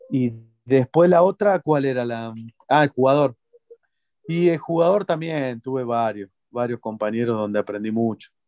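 With an Argentine accent, a man speaks at a moderate pace in a dark, mellow tone, taking long, frequent pauses, the sound dry with no echo over a quiet background. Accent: Argentine Spanish (voseo). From Argentina. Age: 30s. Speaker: retired footballer; interviewee. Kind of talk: interview. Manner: halting, many repetitions. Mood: calm, reflective. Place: home room. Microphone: video call.

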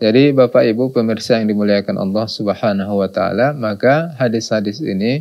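A man speaks at a moderate pace in a fairly low voice, with ordinary pitch variation over a quiet background. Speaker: religious teacher. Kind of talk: sermon. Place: studio. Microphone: lapel.

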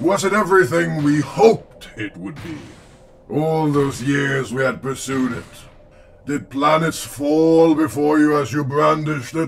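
A man puts on a fairly high-pitched character voice and speaks at a moderate pace. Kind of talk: comic dub performance. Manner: mocking, contemptuous, measured.

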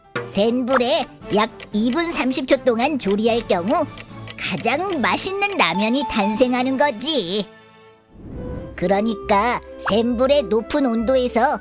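A cartoonish character voice talks at a fairly high pitch and a fairly slow pace. Clear music plays in the background. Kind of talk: children's cartoon explainer. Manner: smug, explanatory, self-praising.

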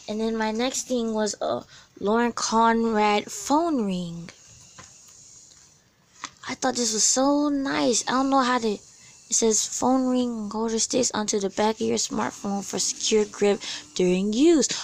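The woman speaks at a fairly slow pace, with long, frequent pauses. The sound is dry, with no echo. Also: ordinary pitch variation. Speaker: vlogger showing giveaway prizes. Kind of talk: casual vlog chat. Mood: excited, grateful. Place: home room. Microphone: phone near.

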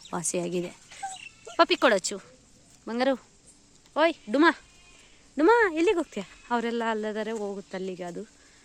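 The voice makes very wide pitch swings and big swings in loudness, with a dry, close sound and no echo. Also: woman, fairly high pitch for a woman. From Karnataka, Bayalu Seeme region (Chitradurga). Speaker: village vlogger. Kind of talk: casual vlog narration. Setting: outdoors in village.

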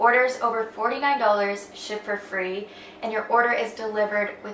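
In a room with audible echo and light background noise, a woman speaks with fairly even intonation. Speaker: lifestyle vlogger. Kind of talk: sponsored ad read in vlog. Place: home room.

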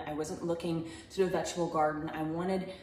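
A woman's fairly low voice at a fairly quick pace, monotone, flat intonation, audible room echo and light background noise. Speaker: home gardening vlogger. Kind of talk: casual vlog chat. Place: home room.

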